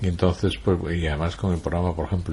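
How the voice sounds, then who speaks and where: The speaker is a man with a very deep, low voice. It comes across somewhat breathy. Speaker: writer, journalist and radio broadcaster being interviewed. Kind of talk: interview answer, conversational.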